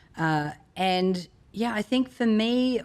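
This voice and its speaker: With an Australian accent, a woman talks in a lively, varied intonation. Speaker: motivational speaker and author. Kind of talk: interview conversation.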